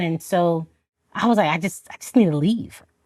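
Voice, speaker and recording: A woman with a Haitian accent at a moderate pace, ordinary pitch variation, a dry, close sound with no echo and a very clean recording with a silent background. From Florida, Haitian immigrant family. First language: Haitian Creole. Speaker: army officer. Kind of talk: testimony interview. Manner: animated.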